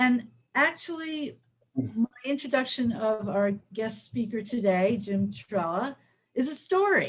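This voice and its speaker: Using an ordinary speaking voice, a woman talks at a fairly slow pace with a fairly high pitch and lively intonation. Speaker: webinar host. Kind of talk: webinar presentation.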